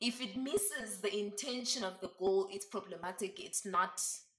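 A woman's plain, everyday voice at medium pitch, with ordinary pitch variation and big swings in loudness. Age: 20s. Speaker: feminism discussion guest. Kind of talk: casual chat.

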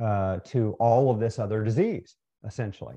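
Against a quiet background, a man with an American accent speaks at a medium pitch and moderate pace in a dark, mellow tone. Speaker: ophthalmologist and nutrition researcher. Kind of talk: interview. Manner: halting, many fillers.

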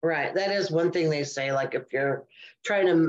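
Talking at a fairly quick pace, a woman uses a plain, everyday voice with fairly low pitch and ordinary pitch variation. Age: 60s. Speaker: podcast co-host. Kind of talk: casual chat.

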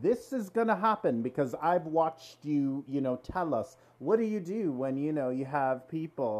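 Moderate pace over a quiet background. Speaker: podcast host. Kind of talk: casual interview chat. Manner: friendly, chatty.

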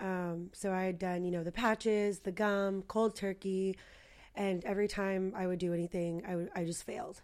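At a moderate pace, a woman talks in a monotone, flat way at a medium pitch. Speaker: client. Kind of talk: interview conversation.

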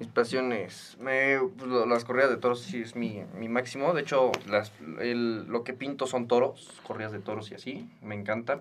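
Noticeable background noise sits behind a man speaking at a moderate pace. His intonation is fairly even, and he hardly pauses. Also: medium pitch for a man. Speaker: podcast host, student. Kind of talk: casual chat.

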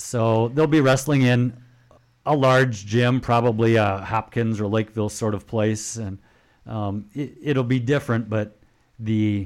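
A man speaks in an unremarkable speaking voice at a moderate pace. His pitch is fairly low, with ordinary variation. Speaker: radio co-host and school sports commentator. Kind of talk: radio DJ patter: relaxed, chatty sports-show banter. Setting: radio studio. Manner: upbeat, conversational, friendly.

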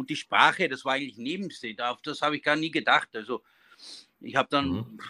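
A man's very fast, fairly high-pitched voice with a bright, sharp tone, in a very clean recording with a silent background. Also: dry, close sound with no echo. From Austria, Innviertel (Upper Austria). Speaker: baker and business owner. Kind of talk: interview. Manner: halting.

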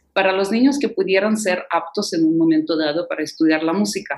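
A woman speaks with a Russian accent. Her intonation is lively. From Ukraine (Kherson, Odessa). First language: Russian (speaking Spanish). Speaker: concert pianist and piano professor. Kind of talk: interview.

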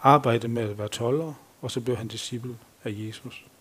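Here a man talks at a fairly slow pace. His pitch sits in the medium range. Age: 50s. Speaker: lay preacher. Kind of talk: sermon. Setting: church.

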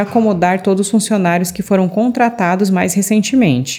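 Against noticeable background noise, a woman with a Brazilian accent talks at a fairly quick pace and a medium pitch. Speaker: news presenter. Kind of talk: newsreading. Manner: formal, steady, even-paced delivery of figures and headlines; polished, neutral, like a scripted bulletin.

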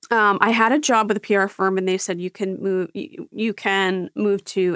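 A woman talks at a moderate pace and medium pitch in an unremarkable speaking voice, with ordinary pitch variation and hardly any pauses. The recording is very clean, dry and close with no echo and a silent background. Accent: American. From Philadelphia. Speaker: reality TV podcast host. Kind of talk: casual chat.

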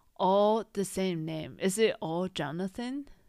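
Woman of medium pitch on a very clean recording with a silent background. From Taiwan. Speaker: podcast co-host. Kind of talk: casual chat.

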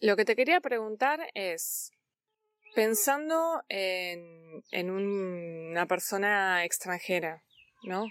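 A woman with a Rioplatense accent, dry and close with no echo, in a very clean recording over a silent background. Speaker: Spanish teacher, podcast host. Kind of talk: interview; scripted narration for learners.

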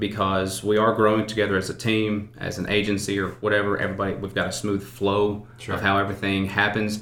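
A man with a Southern US accent talks at a fairly quick pace. His pitch is fairly low, and there is audible room echo. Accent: US South. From Arkansas. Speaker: insurance consultant. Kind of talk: interview.

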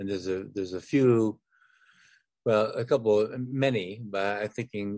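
Against a quiet background, a man with an ordinary speaking voice and an American accent talks at a moderate pace, with a fairly low pitch and fairly even intonation. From northern Michigan. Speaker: podcast host. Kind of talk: interview conversation.

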